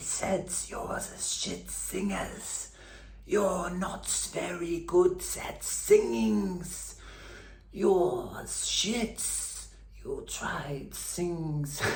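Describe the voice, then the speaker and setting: Very slowly, the words come out. It's a put-on character voice. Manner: mocking.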